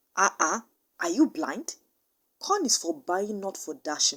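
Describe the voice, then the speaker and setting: Using a put-on character voice with hissing, a woman speaks at a fairly slow pace and a medium pitch, her pitch swinging very widely. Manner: hissing, irritated.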